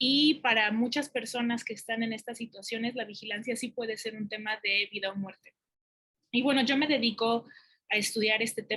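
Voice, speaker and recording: Speaking in a Mexican accent, a woman has a bright, sharp tone and a fairly high pitch. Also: fairly even intonation, moderate pace. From Mexico. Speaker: academic researcher. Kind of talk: conference talk. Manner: hesitant, many fillers.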